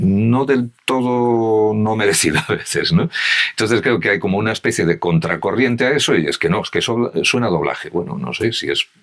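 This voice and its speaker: A man's medium-pitched voice with lively intonation over noticeable background noise. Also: moderate pace. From Galicia. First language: Galician (speaking Spanish). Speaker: voice actor. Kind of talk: podcast interview conversation.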